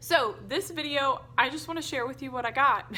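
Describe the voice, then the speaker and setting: Over noticeable background noise, a high-pitched woman speaks in a raised, projected voice at a moderate pace with lively intonation. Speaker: homeschooling mom vlogger. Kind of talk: casual haul video chat.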